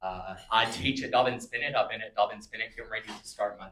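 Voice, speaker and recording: A man speaks at a medium pitch with a bright, sharp tone. His intonation is flat and monotone. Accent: American. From Southwest Virginia. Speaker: political candidate and high school teacher. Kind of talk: candidate forum speech.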